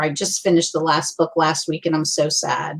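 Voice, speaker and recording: A woman with an American accent, her pitch fairly low, at a fairly quick pace. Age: 60s. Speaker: youtuber. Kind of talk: casual chat. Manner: animated.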